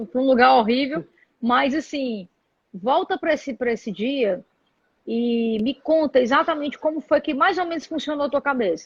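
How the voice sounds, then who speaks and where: Lively intonation at a moderate pace. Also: woman, high pitch for a woman. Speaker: interview host. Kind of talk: live video interview.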